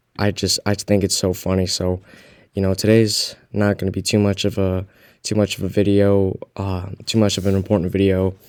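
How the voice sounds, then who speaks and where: A man speaks quietly at a fairly low pitch and moderate pace in a monotone, flat intonation, on a very clean recording with a silent background. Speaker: crypto YouTuber. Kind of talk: casual vlog commentary. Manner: quiet, keeping voice down.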